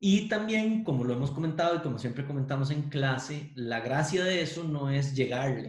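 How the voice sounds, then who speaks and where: Somewhat breathy, a man's voice with a fairly high pitch moves at a moderate pace. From Costa Rica, Pérez Zeledón. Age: 40s. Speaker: university professor and lawyer. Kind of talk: interview conversation.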